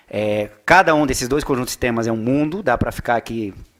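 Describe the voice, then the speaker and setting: This is a man speaking. His pitch is medium. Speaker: economist. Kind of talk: lecture. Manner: fast; animated.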